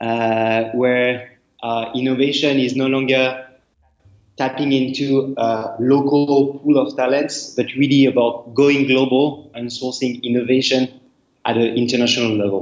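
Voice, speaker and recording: In a French accent, a man speaks at a fairly slow pace with medium pitch. His intonation is monotone and flat. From France. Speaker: startup executive. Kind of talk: interview.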